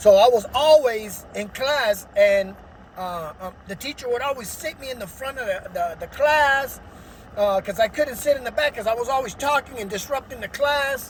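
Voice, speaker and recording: With noticeable background noise present, the talking moves along at a moderate pace. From Los Angeles, US. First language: Spanish. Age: adult. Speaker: vlogger telling life story. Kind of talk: personal testimony. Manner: energetic, hyperactive; hesitant with fillers.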